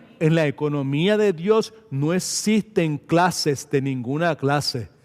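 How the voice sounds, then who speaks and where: A man's fairly high voice at a very slow pace, loudness very even, with noticeable background noise. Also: ordinary pitch variation. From Puerto Rico. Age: 70s. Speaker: pastor. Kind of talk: sermon. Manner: animated.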